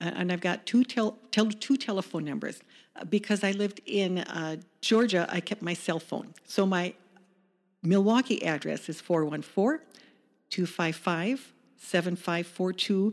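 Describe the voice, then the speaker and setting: With an unremarkable speaking voice and an American accent, a woman speaks fairly slowly at medium pitch with ordinary pitch variation, in a very clean recording with a silent background. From US Midwest, Chicago suburbs. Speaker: small business owner. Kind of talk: interview.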